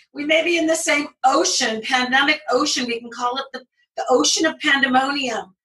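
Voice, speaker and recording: With a raised, projected voice, a woman speaks at a high pitch and moderate pace, with ordinary pitch variation and big swings in loudness. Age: 60s. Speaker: creative writing professor. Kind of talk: panel discussion.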